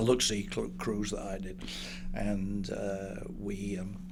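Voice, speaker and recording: Audible room echo surrounds the recording. A man talks with a northern English accent. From northern England. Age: 70s. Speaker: business broker. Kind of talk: interview. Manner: halting.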